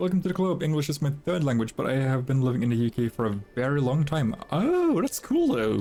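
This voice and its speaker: Music plays in the background as a man speaks at medium pitch with a Norwegian accent. His intonation is lively and his pace fairly quick. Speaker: video game streamer. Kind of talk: casual chat. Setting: live stream.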